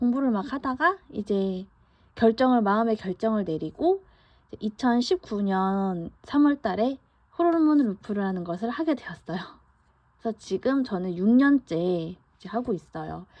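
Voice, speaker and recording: Big swings in loudness and lively intonation mark an unremarkable speaking voice moving at a fairly slow pace. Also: woman, fairly high pitch for a woman. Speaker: vlogger. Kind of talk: casual monologue. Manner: conversational with fillers.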